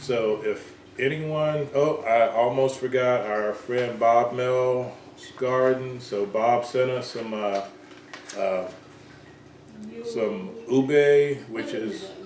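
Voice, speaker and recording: With audible room echo and noticeable background noise, a man with a slight Southern US accent speaks at a very slow pace and medium pitch, with fairly even intonation and long, frequent pauses. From US South, Georgia. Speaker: home gardener, channel host. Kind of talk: casual chat. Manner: hesitant, lots of fillers.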